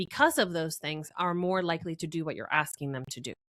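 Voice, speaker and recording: In a Spanish accent, the voice has a bright, sharp tone and a dry, close sound with no echo. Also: woman. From Venezuela, then Florida. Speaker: marketing strategist. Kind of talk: interview conversation. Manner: hesitant, many fillers.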